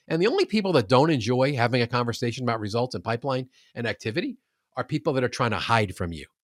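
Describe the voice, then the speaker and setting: A man talks at a very fast pace with medium pitch and ordinary pitch variation. The recording is very clean, with a silent background and a dry, close sound with no echo. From New York, US. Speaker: author and sales coach. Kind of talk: casual interview conversation.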